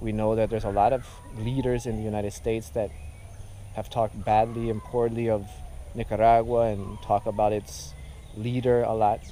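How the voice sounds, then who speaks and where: A man with a dark, mellow tone talks fairly quickly with fairly even intonation, broken by long, frequent pauses. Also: medium pitch for a man. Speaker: video blogger. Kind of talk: vlog commentary. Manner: halting.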